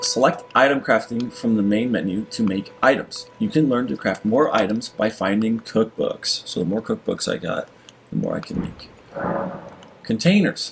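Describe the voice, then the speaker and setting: The man talks at a moderate pace. Music plays in the background. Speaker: video game streamer. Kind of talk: gameplay commentary. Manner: stutters when reading aloud.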